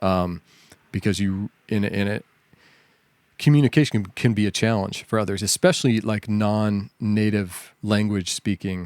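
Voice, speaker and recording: A man with an American accent speaks at a moderate pace in a plain, everyday voice, his pitch fairly low. His intonation stays fairly even, and the recording is very clean with a silent background. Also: dry, close sound with no echo. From US South. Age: 40s. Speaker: software engineer. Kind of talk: casual chat.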